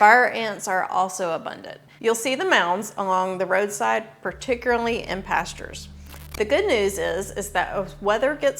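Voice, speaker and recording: With music in the background, a woman speaks at a medium pitch in a Southern US accent. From US South, northwest Georgia. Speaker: realtor. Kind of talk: scripted informational video.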